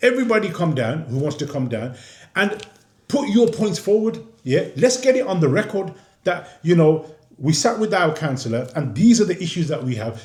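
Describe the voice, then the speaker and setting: A man's high voice with a Birmingham accent, very wide pitch swings and a moderate pace, with audible room echo. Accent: Birmingham (Brummie) English. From Birmingham, England. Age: 60s. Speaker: independent council candidate. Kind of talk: interview. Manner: repetitive, stammering restarts.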